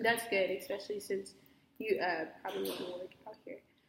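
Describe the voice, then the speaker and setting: At a moderate pace and medium pitch, a woman with an unremarkable speaking voice talks with ordinary pitch variation. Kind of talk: casual interview questions.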